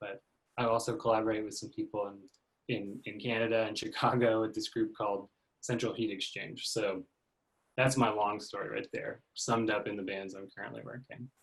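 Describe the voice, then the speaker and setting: Somewhat breathy, a man with an American accent speaks at a fairly quick pace. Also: medium pitch for a man, fairly even intonation. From Texas (Austin). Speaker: guitarist. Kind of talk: casual chat.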